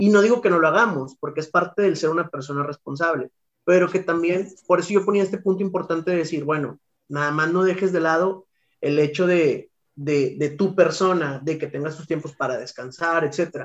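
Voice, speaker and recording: Pitched high for a man, the voice varies in pitch in an ordinary way. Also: moderate pace. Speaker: podcast co-host, teacher. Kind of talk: casual chat.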